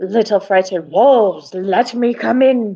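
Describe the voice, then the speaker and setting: A woman uses a put-on character voice at a moderate pace. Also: medium pitch for a woman. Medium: read story. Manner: menacing, taunting.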